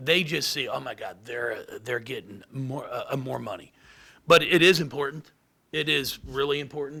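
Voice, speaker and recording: A man's fairly high, bright, sharp voice with vocal fry, ordinary pitch variation and a moderate pace. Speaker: basketball head coach. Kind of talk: press conference. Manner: halting, with repetitions.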